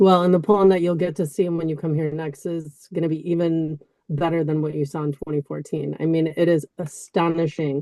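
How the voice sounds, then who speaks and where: A woman's fairly low, dark, mellow voice with an American accent, flat and monotone at a fairly quick pace. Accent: completely American. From US Midwest, Chicago. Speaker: former banker, interview guest. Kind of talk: interview.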